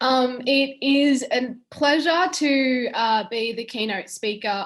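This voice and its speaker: A woman talks with an Australian accent. Her pitch varies in an ordinary way. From western New South Wales, Australia. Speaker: keynote speaker, lawyer. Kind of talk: keynote speech. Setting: online webinar.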